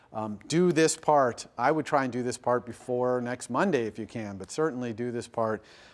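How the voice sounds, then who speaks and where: A man's voice at a medium pitch with ordinary pitch variation. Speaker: university lecturer. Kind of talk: lecture. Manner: fast.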